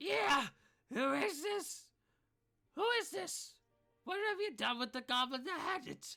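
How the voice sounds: A put-on character voice sits at a high pitch with very wide pitch swings. It moves at a fairly slow pace with long, frequent pauses over music in the background.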